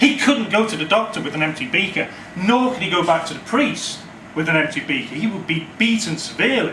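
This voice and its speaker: A man talks at a fairly quick pace in a high pitch. His intonation is lively, with noticeable background noise behind him. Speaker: storyteller. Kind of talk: live storytelling performance. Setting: live audience in a cafe. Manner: humorous, conversational.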